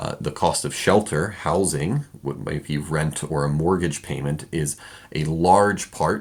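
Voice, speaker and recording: Speaking at a moderate pace, a man with a very deep, low pitch keeps his intonation fairly even. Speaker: economics teacher. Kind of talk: lecture.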